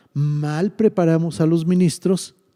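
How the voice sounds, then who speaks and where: A man speaks at a fairly slow pace in a high voice with a dark, mellow tone. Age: 60s. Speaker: pastor. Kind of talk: casual chat.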